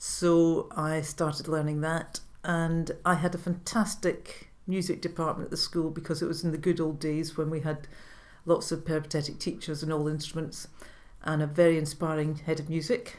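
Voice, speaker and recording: Speaking with a Scottish accent, a woman uses a very deep, low pitch and a monotone, flat delivery at a moderate pace. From Scotland. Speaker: retired orchestra manager and violinist. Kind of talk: interview answer.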